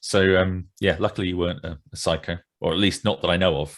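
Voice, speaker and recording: In a southern English accent, a man with a very deep, low pitch talks at a fairly quick pace on a very clean recording with a silent background. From West Sussex coast, England. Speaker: historical novelist. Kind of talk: casual chat.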